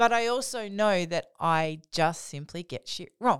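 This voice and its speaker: A woman's voice with lively intonation, on a very clean recording with a silent background and a dry, close sound with no echo. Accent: Australian. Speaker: podcast co-host, author. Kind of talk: casual chat.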